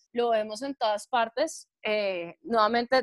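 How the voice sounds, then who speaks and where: A woman speaks in a high pitch at a fairly slow pace. The sound is dry and close, with no echo. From Colombia, Chía (Cundinamarca). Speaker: podcast co-host. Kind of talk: casual chat.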